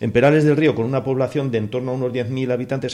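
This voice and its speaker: Speaking very fast, a man has a dark, mellow tone. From Spain, rural Cuenca (Castilla-La Mancha). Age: 60s. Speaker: neighbourhood association spokesman. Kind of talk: radio panel discussion.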